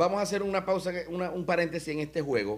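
A man speaks in a Zulian Venezuelan accent with a high pitch. His intonation is lively. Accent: Zulian Venezuelan Spanish (voseo). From Venezuela, Maracaibo (Zulia); Zulia, Venezuela. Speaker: show host. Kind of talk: comedic interview chat. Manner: animated. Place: studio. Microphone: studio mic.

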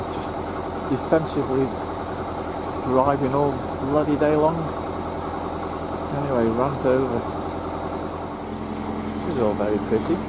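Over loud background noise, the speech moves at a moderate pace with long, frequent pauses. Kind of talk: casual vlog chat. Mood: mildly annoyed then relaxed. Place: boat.

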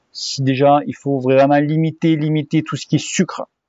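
Speech comes at a fairly slow pace with fairly even intonation. The sound is dry with no echo, and the background is quiet. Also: man. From southwest France (Cahors); southwest France. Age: 40s. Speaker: cycling YouTuber. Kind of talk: Q&A answering viewer questions, casual. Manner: hesitant, many fillers. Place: garden. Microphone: phone near.

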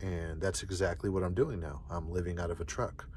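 At a moderate pace, a man talks in a very deep, low voice that is somewhat breathy, the sound dry with no echo. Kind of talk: casual vlog chat. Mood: calm, reflective. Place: car.

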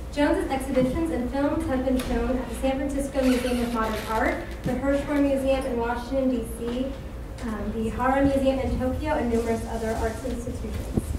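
Delivered at a fairly quick pace in a monotone with flat intonation, the voice carries audible room echo and noticeable background noise. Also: woman, high pitch for a woman. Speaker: event host introducing speaker. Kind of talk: speaker introduction read aloud. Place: hall. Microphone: podium.

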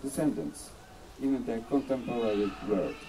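Against light background noise, a man with a Polish accent speaks with ordinary pitch variation. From Poland. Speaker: diplomat. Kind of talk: ceremonial speech. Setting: outdoors. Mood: solemn, formal. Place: open country.

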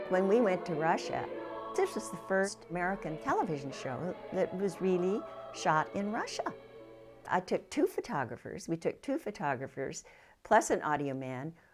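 Music plays behind a woman speaking at a moderate pace. Her fairly low voice swings very widely in pitch. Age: 80s+. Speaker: television producer. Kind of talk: interview answer.

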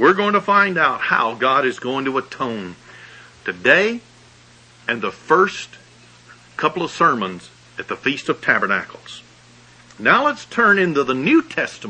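A man's fairly slow speech in a Southern US accent, with long, frequent pauses and noticeable background noise. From US South, Alabama. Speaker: pastor. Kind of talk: sermon.

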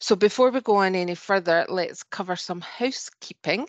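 A woman speaks with a Scottish accent and ordinary pitch variation. The sound is dry with no echo, over a quiet background. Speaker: webinar host. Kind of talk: webinar introduction and housekeeping. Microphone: video call.

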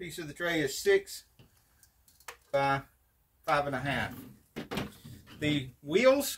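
The speech moves at a fairly slow pace. Light background noise can be heard. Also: man. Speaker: DIY car repair channel host. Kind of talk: tutorial. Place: garage. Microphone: camera far.

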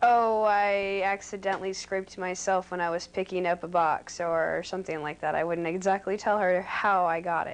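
At a moderate pace, a woman talks with monotone, flat intonation. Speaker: interviewee. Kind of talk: interview answer. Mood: relaxed, smiling. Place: home room.

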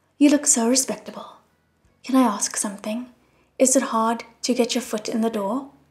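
With music in the background, a woman talks at a fairly slow pace in a high pitch. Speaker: audiobook narrator. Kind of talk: audiobook reading.

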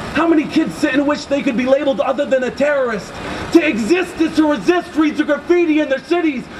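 Against noticeable background noise, a man with an extremely high pitch talks at a fairly quick pace in an animated tone with ordinary pitch variation. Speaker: spoken word poet. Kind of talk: spoken word poetry performed at a protest, rhythmic and rhyming with crowd call-outs. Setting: outdoors at a rally with crowd. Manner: animated, forceful, rhythmic delivery; impassioned, fast-paced with punchy rhymes. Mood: angry, defiant. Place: street. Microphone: handheld.

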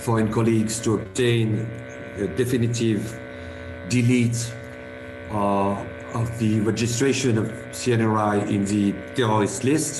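With music in the background, a man speaks in a flat monotone at very even loudness, leaving long, frequent pauses. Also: fairly slow pace. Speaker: lawyer speaking at an online conference. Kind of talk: conference speech. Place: home room. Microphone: video call.

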